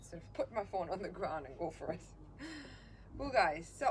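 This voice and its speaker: Noticeable background noise sits under this recording. A woman speaks at a moderate pace. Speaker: fitness instructor. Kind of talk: live-streamed workout instruction. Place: garden. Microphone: camera far.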